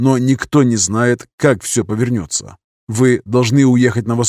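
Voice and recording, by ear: Someone is reading aloud in a natural voice with fairly even intonation. The background stays quiet.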